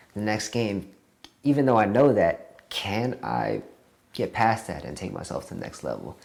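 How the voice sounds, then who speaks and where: A mumbling man with big swings in loudness. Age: 20s. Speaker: actor. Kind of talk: interview. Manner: fast.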